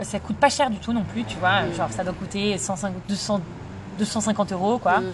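Over noticeable background noise, a woman speaks at a moderate pace. Her voice is medium in pitch, with ordinary pitch variation. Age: 30s. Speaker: entrepreneur, former lawyer. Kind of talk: interview. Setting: in person.

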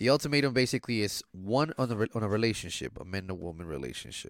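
The voice has vocal fry. The recording is very clean, and the background is silent. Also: man. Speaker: podcast co-host. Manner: laid back, joking.

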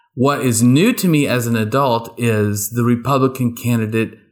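A man speaks in a normal speaking voice with an American accent. His pitch is medium, his intonation fairly even, and his pace fairly slow. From rural East Texas. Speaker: podcast co-host, academic teacher. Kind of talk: casual chat.

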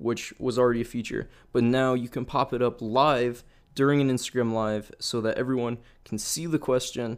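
An ordinary speaking voice from a man at medium pitch and moderate pace, on a very clean recording with a silent background. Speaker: podcaster and video creator. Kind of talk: casual chat. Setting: home recording while live-streaming. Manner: rambling, laid-back.

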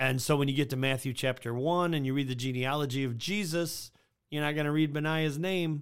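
In a normal speaking voice, the speaker goes at a fairly quick pace on a very clean recording with a silent background. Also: man, fairly high pitch for a man. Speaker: church podcast host. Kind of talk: casual chat, podcast discussion. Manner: fast talker.

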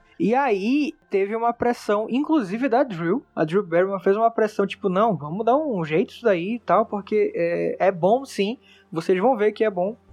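With music in the background and a dry, close sound with no echo, a high-pitched man talks at a moderate pace with lively intonation and hardly any pauses. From Manaus, northern Brazil. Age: 20s. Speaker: podcast editor and host. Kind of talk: casual monologue. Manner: animated.

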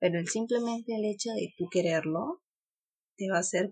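Somewhat breathy, a woman speaks at a moderate pace with a medium pitch. Her pitch varies in an ordinary way. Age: 30s. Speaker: lawyer and blogger mother. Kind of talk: casual interview.

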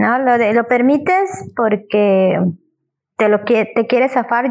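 At a moderate pace, a woman talks with a high pitch. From Ticul, Yucatán, Mexico. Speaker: historian. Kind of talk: casual chat.

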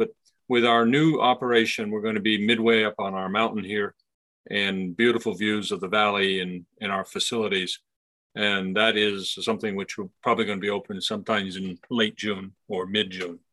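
A man speaks at a moderate pace with an unremarkable speaking voice. His pitch sits fairly low, and his intonation stays fairly even. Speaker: brewery owner. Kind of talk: casual interview.

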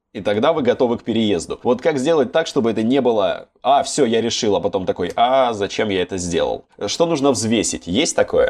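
A man talks at a fairly quick pace with a quiet background behind him. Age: 20s. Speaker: podcast host. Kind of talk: casual chat.

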